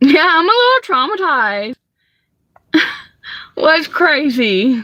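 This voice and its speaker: In a Southern US accent, a woman projects a raised, high-pitched voice with a bright, sharp tone and very wide pitch swings. She talks very slowly, and the sound is dry and close with no echo. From US South, Georgia. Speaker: live streamer, delivery driver. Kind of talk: casual live stream chat. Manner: chatty, frequent fillers.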